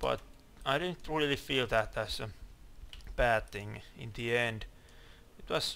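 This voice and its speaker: With a bright, sharp tone, a man of medium pitch speaks at a fairly slow pace. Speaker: gaming video creator. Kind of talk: gameplay commentary. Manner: halting, stuttering; mumbling at times.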